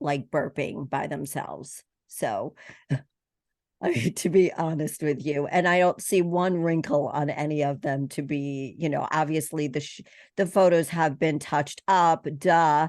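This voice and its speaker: A woman with an American accent, very deep and low pitch, fairly even intonation and a fairly slow pace over a quiet background. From US East Coast. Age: 60s. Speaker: podcast host. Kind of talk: casual chat.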